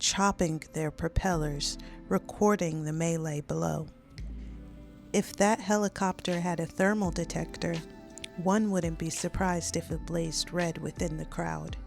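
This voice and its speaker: Music plays in the background as a woman speaks. She is soft-spoken and keeps a fairly slow pace. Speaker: audiobook narrator. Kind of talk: scripted narration.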